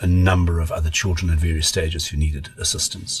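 A man's very deep, low voice, monotone and flat, with music in the background. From South Africa, Pretoria. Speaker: pediatrician. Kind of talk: casual chat.

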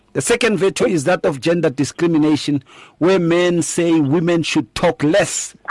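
A man's high voice at a moderate pace, with very even loudness, ordinary pitch variation, and a dry, close sound with no echo over a quiet background. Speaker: pastor and radio host. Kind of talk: radio talk show discussion.

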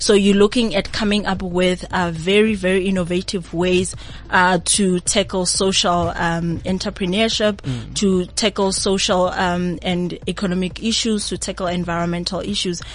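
A woman's medium-pitched voice at a moderate pace, flat and monotone, with hardly any pauses and noticeable background noise. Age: 20s. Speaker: university project coordinator. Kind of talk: radio interview. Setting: radio studio.

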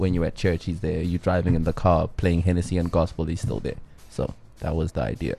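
A man's very deep, low voice with vocal fry, a dark, mellow tone, ordinary pitch variation and a very fast pace, over a quiet background. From South Africa (Johannesburg). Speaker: music producer and artist. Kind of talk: casual interview.

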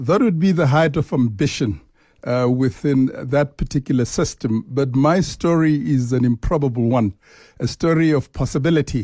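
A man's fairly high, somewhat breathy voice with a dark, mellow tone and ordinary pitch variation, at a moderate pace and very even loudness, dry and close with no echo, over a quiet background. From South Africa. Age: 50s. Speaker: bank chief executive. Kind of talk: interview. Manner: hesitant, many filler uhs.

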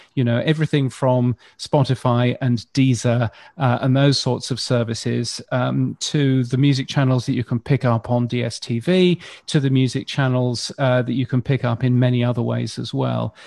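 With an English accent, a man speaks at a moderate pace and a medium pitch, with fairly even intonation. The sound is dry and close, with no echo. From UK. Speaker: radio futurologist. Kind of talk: panel discussion.

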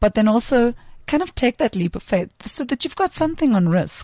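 A somewhat breathy woman with lively intonation in a dry, close sound with no echo. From South Africa, Pretoria. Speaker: tech education co-founder. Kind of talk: interview. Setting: studio.

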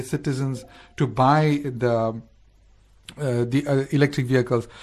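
Somewhat breathy, a man speaks at a moderate pace. The background is quiet. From South Africa. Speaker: radio host. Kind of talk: casual chat. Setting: studio.

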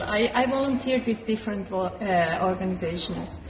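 Background noise is noticeable throughout. A woman's intonation rises and falls in a lively way. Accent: Swiss German. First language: German. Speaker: translator and traveler. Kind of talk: casual interview chat.

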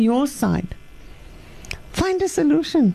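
A woman's fairly slow speech. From Cape, South Africa. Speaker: life coach. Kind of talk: radio interview. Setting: studio.

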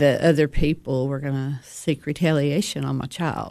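A woman's very deep, low voice in a Tennessee accent, over a quiet background. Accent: Southern US (Tennessee). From DeKalb County, Tennessee. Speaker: counselor sharing recovery story. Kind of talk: testimony.

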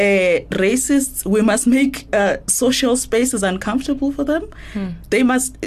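A woman speaks over noticeable background noise. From South Africa, Eastern Cape (Matatiele area). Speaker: political journalist. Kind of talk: casual chat.

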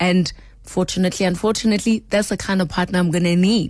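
Over a quiet background, a woman talks at a very fast pace in a somewhat breathy, medium-pitched voice with fairly even intonation. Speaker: sports broadcaster. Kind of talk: casual interview. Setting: radio studio.

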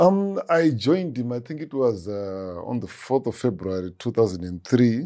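With a Zimbabwean accent, a man speaks at a moderate pace and medium pitch in a dark, mellow tone, using very wide pitch swings, big swings in loudness and hardly any pauses, against a quiet background. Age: 50s. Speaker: music producer and guitarist. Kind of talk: interview conversation.

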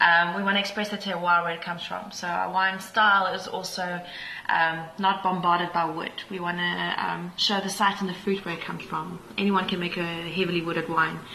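Against noticeable background noise and audible room echo, a woman speaks in a flat monotone at a fairly low pitch. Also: moderate pace. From South Africa, Pretoria. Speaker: winemaker. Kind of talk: casual interview. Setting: on location at a wine farm tasting room.

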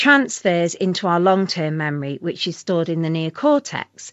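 A woman with an ordinary speaking voice talks at a moderate pace with lively intonation. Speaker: sleep and memory researcher. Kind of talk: interview.

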